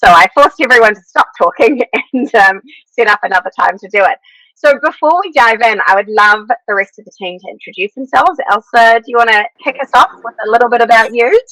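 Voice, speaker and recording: Speaking at a fairly quick pace, a woman with a New Zealand accent has a fairly high, bright and sharp voice, lively intonation and big swings in loudness, recorded dry and close with no echo. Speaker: podcast host. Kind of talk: casual chat.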